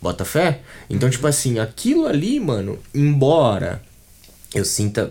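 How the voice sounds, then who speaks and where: A man speaks at a fairly slow pace with long, frequent pauses. His medium-pitched voice is somewhat breathy, with a dark, mellow tone and lively intonation. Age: 20s. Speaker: brand designer and art director. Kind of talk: casual interview chat. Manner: halting, many fillers and repetitions.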